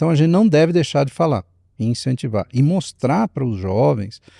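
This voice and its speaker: A man's dark, mellow voice with very wide pitch swings, in a very clean, dry, close recording with a silent background and no echo. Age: 60s. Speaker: speaker and leadership mentor. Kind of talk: podcast interview. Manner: animated, storytelling.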